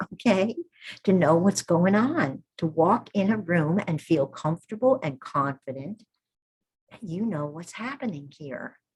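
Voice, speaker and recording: Somewhat breathy and fairly low-pitched, a woman's voice swings widely in loudness. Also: lively intonation, fairly slow pace. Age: 70s. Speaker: midwifery teacher. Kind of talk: online workshop talk. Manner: animated.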